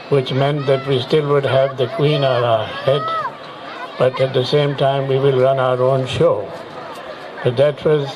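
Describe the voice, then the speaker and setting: A man's medium-pitched, monotone, flat delivery at a fairly slow pace, with audible room echo and crowd noise in the background. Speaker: retired air force officer, chief guest. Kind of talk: ceremonial speech. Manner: halting.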